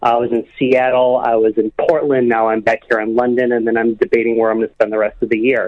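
A man's medium-pitched voice with an American accent, very fast pace, hardly any pauses and monotone, flat intonation. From US Midwest. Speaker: caller. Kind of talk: phone-in conversation. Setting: phone call.

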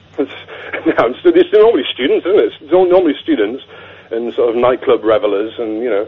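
A man's fairly quick speech comes over noticeable background noise. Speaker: caller explaining silent discos. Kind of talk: casual chat. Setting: phone call.

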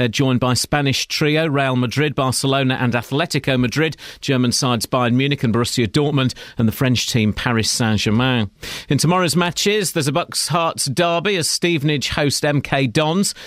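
A man's fairly high-pitched, plain, everyday voice at a moderate pace, with ordinary pitch variation, very even loudness, and a very clean recording over a silent background. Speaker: newsreader. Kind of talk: news reading.

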